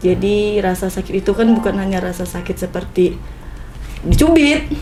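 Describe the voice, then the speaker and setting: Over music in the background, a woman with a strong Malay accent speaks at a medium pitch and a moderate pace, her intonation lively. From Pontianak, West Kalimantan, Indonesia. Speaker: small business owner, food seller. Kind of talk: casual podcast interview. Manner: blunt, unrefined way of talking; talkative.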